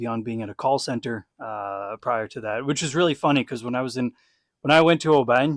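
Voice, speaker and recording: Talking at a very fast pace with an American accent, a man with a medium-pitched voice sounds dry and close with no echo. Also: very clean recording, silent background. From Texas. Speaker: former legionnaire, podcast host. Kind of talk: casual chat.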